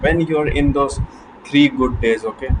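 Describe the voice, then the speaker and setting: A man's fairly high voice with a non-native accent, over noticeable background noise. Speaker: self-improvement vlogger. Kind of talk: motivational talk to camera. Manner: halting, repeats words.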